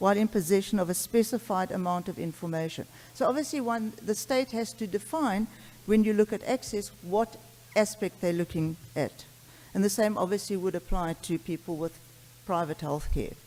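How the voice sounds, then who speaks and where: A woman at medium pitch talks with ordinary pitch variation. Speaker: pediatrics professor and allergy clinician. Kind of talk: conference talk. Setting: conference stage with audience. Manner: fast.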